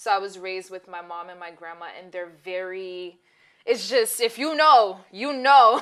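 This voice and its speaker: A woman speaks at a moderate pace with a medium pitch and ordinary pitch variation. Her tone is bright and sharp. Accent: slight Brooklyn. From Brooklyn, New York (Bed-Stuy). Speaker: co-host of a talk show. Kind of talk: casual chat.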